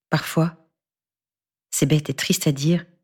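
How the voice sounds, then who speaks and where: Very deep and low in pitch, a woman talks at a fairly slow pace with vocal fry. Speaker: audiobook narrator. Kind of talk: scripted first-person noir monologue narration, read aloud as an anxious battered wife.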